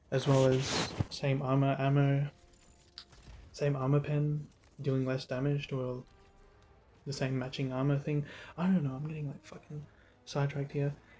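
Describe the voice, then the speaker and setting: Over background music, a man with a fairly high pitch speaks at a moderate pace in a monotone, flat way, leaving long, frequent pauses. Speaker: gaming commentator. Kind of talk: unscripted rant. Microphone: poor mic quality, first time using a mic.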